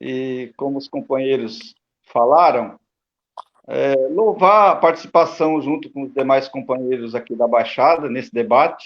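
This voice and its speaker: A man with a normal speaking voice talks at a fairly slow pace in a fairly high pitch, his pitch varying in an ordinary way while his loudness swings widely. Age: 60s. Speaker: retired metalworker and union activist. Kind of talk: panel discussion.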